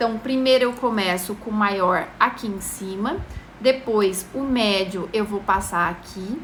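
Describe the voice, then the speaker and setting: A woman speaks at a fairly slow pace in a medium pitch with ordinary pitch variation. Noticeable background noise runs underneath. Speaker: makeup tutorial host. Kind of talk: live-stream tutorial. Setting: live stream.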